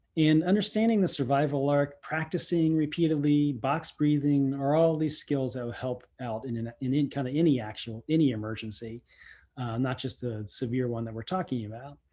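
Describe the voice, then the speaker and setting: Over a quiet background, a dark, mellow tone comes through at a moderate pace with ordinary pitch variation. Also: man, fairly high pitch for a man. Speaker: CERT volunteer trainer. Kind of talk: online training presentation. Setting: virtual training session. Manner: halting, many fillers.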